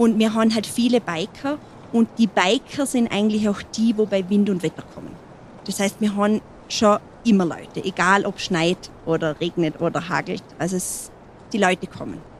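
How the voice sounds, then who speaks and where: With an unremarkable speaking voice, a woman talks at a medium pitch and shows ordinary pitch variation. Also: moderate pace. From Montafon, Vorarlberg, Austria. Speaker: mountain hut landlady. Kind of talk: interview. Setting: mountain hut.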